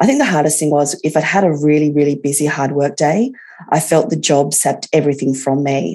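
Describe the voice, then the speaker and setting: A woman with an Australian accent, very deep and low in pitch with a dark, mellow tone, at a fairly quick pace with ordinary pitch variation. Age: 40s. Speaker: patient with chronic arthritis. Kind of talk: interview testimony.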